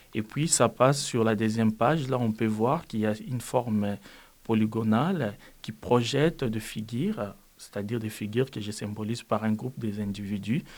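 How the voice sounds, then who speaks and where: His voice sits at a medium pitch and moves at a moderate pace. The man's pitch rises and falls in an ordinary way. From DR Congo. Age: 20s. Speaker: refugee. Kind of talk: testimony. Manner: calm.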